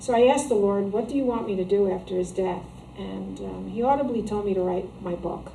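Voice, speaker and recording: A woman speaks at medium pitch with an American accent. Audible room echo surrounds her voice. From New Jersey. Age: 60s. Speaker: author. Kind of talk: interview. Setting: shop. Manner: halting.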